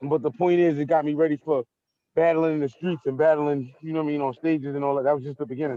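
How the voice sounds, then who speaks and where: A man with a Brooklyn accent at a very fast pace, fairly high in pitch, with fairly even intonation and a dry, close sound with no echo. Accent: Brooklyn New York. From New York, Brooklyn. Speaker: battle rapper. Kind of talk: casual interview. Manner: casual, repetitive filler.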